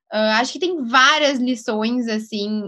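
With a southern Brazilian accent, a woman speaks at a fairly slow pace in a fairly high pitch with a bright, sharp tone. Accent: gaúcho Brazilian Portuguese. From Rio Grande do Sul, Brazil. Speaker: entrepreneur. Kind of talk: interview.

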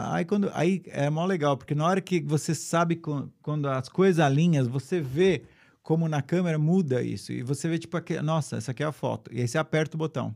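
With a plain, everyday voice, a man speaks at a fairly quick pace with hardly any pauses, his fairly high pitch showing ordinary variation, on a very clean recording with a silent background. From São Paulo, Brazil. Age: 50s. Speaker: photographer. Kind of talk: casual interview.

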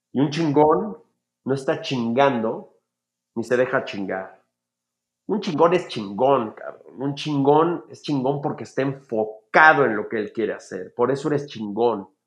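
A man speaks at a fairly slow pace in a fairly high voice with an animated tone. His intonation is lively and his loudness swings widely. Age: 40s. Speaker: film director and motivational speaker. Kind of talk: casual interview.

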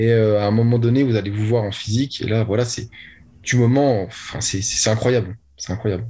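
A man speaks at a moderate pace in a medium-pitched, somewhat breathy voice. His tone is dark and mellow, and his intonation stays monotone and flat. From France, Lorraine (Nancy). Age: young. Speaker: young online entrepreneur. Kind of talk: interview.

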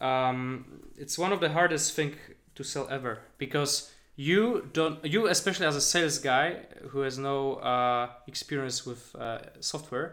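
A man with a Polish accent and fairly high pitch talks at a fairly slow pace with ordinary pitch variation. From Poland. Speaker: podcast co-host, software agency founder. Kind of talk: casual chat.

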